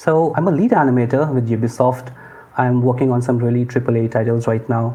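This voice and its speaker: Here a man speaks with an Indian accent at a medium pitch. His loudness stays very even. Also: fairly even intonation, fairly quick pace. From northern India, Lucknow. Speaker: lead game animator. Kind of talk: interview. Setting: remote call from India.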